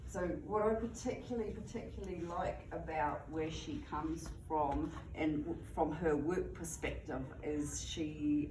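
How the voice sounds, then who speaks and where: A woman talks in a room with audible echo and noticeable background noise. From England, Bristol. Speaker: student presenter. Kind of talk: reading aloud; class presentation. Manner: halting.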